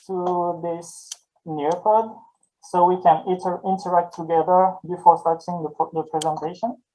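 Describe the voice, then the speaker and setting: With a French accent, a man speaks at a fairly slow pace. His voice sits at a high pitch. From southern France, Avignon. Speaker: French language tutor. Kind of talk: online presentation introduction. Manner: hesitant, with repetitions.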